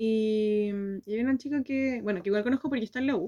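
Lively intonation from a woman with a fairly high voice. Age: 20s. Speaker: podcast co-host. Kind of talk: casual chat. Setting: video call.

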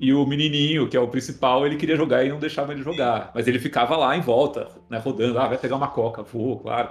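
A man's medium-pitched voice at a very fast clip, with hardly any pauses and fairly even intonation. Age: 40s. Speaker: film and commercial director. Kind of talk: interview.

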